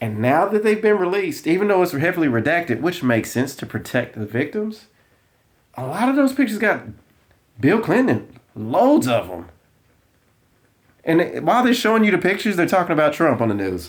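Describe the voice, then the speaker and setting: With a strong Southern US accent, a high-pitched man talks at a fairly quick pace, taking long, frequent pauses, his pitch swinging very widely. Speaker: political commentator. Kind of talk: casual commentary vlog.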